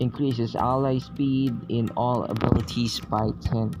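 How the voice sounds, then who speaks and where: Music plays in the background. A man talks in a medium pitch at a fairly slow pace, his intonation fairly even. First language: not English. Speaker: game reviewer. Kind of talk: casual game review commentary. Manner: hesitant, halting.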